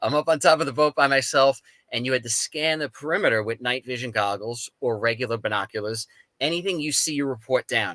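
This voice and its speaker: In a New York accent, a man talks in an animated, bright, sharp tone with a dry, close sound and no echo. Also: medium pitch for a man, ordinary pitch variation, fairly quick pace. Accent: East Coast New York. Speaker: paranormal experiencer, Coast Guard veteran. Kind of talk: testimony.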